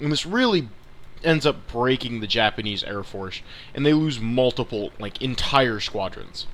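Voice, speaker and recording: Here a man speaks at medium pitch with ordinary pitch variation. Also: moderate pace. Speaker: gaming YouTuber. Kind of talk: gameplay commentary. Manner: halting, self-correcting; casual.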